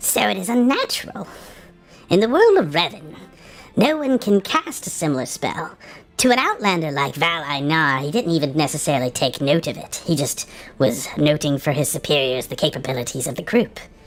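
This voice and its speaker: A put-on character voice at a middle pitch moves at a fairly quick pace, with faint music in the background. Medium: actual play.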